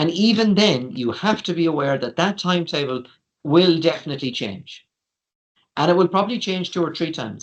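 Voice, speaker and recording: Speaking with an Irish accent, a man uses a high voice with lively intonation at a fairly quick pace. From Ireland. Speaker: university international office staff. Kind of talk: informational webinar presentation. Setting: online webinar. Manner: conversational, many fillers.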